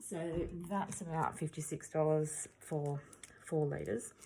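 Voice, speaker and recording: Somewhat breathy, a woman's very deep, low voice carries a dark, mellow tone. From Australia. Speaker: acrylic pour artist. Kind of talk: tutorial. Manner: casual, hesitant with fillers.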